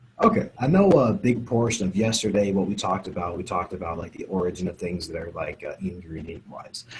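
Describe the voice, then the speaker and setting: A man rushes along at a very fast pace with hardly any pauses and ordinary pitch variation. His loudness swings widely over noticeable background noise. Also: fairly low pitch for a man. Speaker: sports nutrition scientist. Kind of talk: interview explanation. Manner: low volume. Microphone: too quiet, far from mic.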